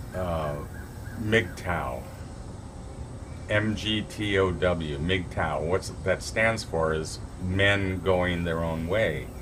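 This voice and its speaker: With long, frequent pauses, a man speaks at a very slow pace in a very deep, low pitch with ordinary pitch variation, amid audible room echo and noticeable background noise. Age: 60s. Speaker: vlogger giving relationship advice. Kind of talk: casual monologue to camera. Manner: halting, many fillers and restarts.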